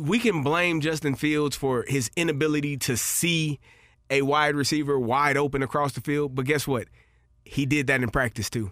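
A plain, everyday voice with very even loudness and ordinary pitch variation comes through a very clean recording with a silent background. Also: man, fairly high pitch for a man, moderate pace. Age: 40s. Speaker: former NFL player, football podcast co-host. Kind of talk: casual sports chat.

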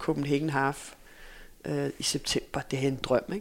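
A woman talks with vocal fry. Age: 40s. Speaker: former sprinter and running coach. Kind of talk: casual interview. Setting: in person recording.

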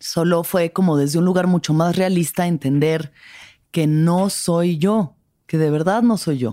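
A woman talks at a fairly slow pace in a fairly low, dark, mellow voice with ordinary pitch variation. Her loudness stays very even on a very clean recording with a silent background. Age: 30s. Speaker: podcast host. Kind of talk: personal reflective monologue. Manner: casual.

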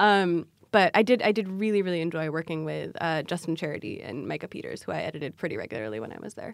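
A woman speaks very fast at a fairly low pitch, with very wide pitch swings and hardly any pauses. The recording is very clean, with a silent background. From Southern California. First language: Amharic. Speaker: staff writer, journalist. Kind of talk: casual interview.

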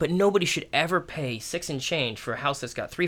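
A man's fairly high, bright, sharp voice with vocal fry, very fast pace and lively intonation. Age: 40s. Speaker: real estate agent and coach. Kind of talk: casual chat.

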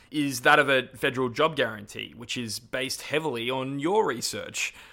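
On a very clean recording with a silent background, a man speaks at medium pitch with a bright, sharp tone. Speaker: podcast host and campaigner. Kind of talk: interview.

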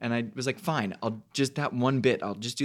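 An unremarkable speaking voice from a man, medium in pitch, at a fairly quick pace with ordinary pitch variation. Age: 20s. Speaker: Broadway actor and podcast co-host. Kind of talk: casual chat.

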